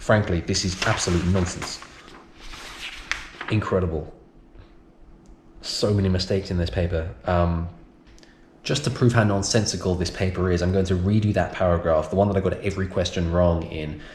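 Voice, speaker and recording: A man with a British accent and a very deep, low voice at a moderate pace, with long, frequent pauses and noticeable background noise. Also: fairly even intonation. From United Kingdom. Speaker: science and EAL teacher. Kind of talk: casual talk to camera.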